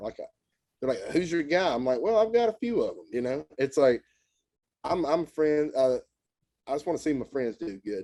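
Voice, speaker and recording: With a Southern US accent, a man speaks in a dark, mellow tone and with lively intonation. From Tennessee. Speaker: country musician. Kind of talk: casual chat.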